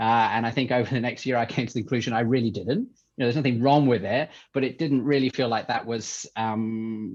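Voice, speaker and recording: A man with an English accent at a very fast pace, fairly even in intonation, against a quiet background. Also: medium pitch for a man. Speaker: tech entrepreneur, company CEO. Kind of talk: podcast interview. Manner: hesitant, many fillers.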